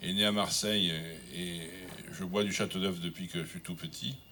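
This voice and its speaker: The speaker is male. He has a fairly low pitch. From southern France. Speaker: wine critic. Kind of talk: acceptance speech. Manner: halting, many hesitations.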